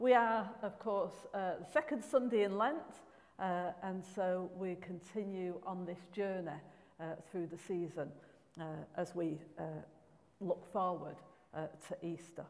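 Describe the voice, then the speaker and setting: The loudness swings widely and the pitch varies in an ordinary way. Delivery is fairly slow, broken by long, frequent pauses. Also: woman. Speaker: minister leading a service. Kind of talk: service welcome address. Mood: warm, amused. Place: church. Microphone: podium.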